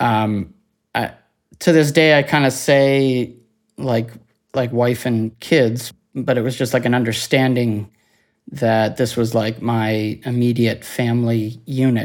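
On a very clean recording with a silent background, a man with a Cape Breton accent speaks very slowly at a medium pitch, his intonation fairly even. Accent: Cape Breton Canadian. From Cape Breton Island, Nova Scotia, Canada. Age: 30s. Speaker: near-death experiencer. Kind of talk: testimony.

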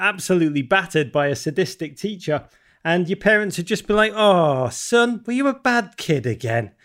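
In a Liverpool accent, a man speaks at a moderate pace with a high pitch. The recording is very clean, the background silent. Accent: Liverpool (Scouse) English. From Liverpool, England. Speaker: author. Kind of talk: interview.

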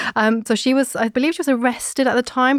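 A woman with a British accent on a very clean recording with a silent background, the sound dry and close with no echo. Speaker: podcast host, historian. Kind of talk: casual chat and historical storytelling.

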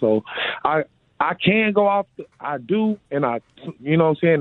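A man talks at a moderate pace in an ordinary speaking voice, with ordinary pitch variation. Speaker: football player. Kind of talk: interview. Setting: phone call.

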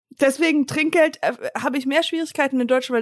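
A woman is heard on a very clean recording with a silent background, the sound dry and close with no echo. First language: English (speaking German). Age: 40s. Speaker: podcast co-host. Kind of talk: casual chat.

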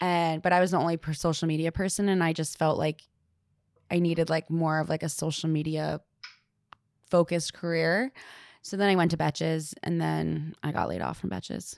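A woman with a normal speaking voice talks at a fairly quick pace, her fairly low pitch held in fairly even intonation. The sound is dry and close with no echo, on a very clean recording with a silent background. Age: 20s. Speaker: marketing professional. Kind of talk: casual chat.

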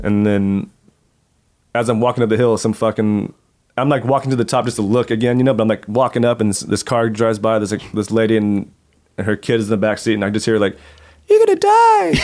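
Speaking very fast at medium pitch, a man with an American accent keeps a monotone, flat intonation. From Oklahoma City, US. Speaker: professional skateboarder. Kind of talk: casual chat. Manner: halting.

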